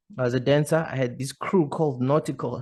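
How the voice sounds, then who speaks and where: With an ordinary speaking voice, a man talks at a moderate pace and medium pitch, with ordinary pitch variation against a quiet background. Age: 30s. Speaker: podcast host. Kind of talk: casual vlog monologue.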